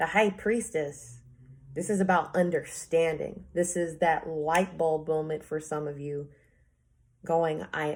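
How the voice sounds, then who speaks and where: Recorded very cleanly over a silent background, a woman speaks with a fairly low pitch and fairly even intonation. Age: 20s. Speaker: tarot reader. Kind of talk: tarot reading monologue. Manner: slow.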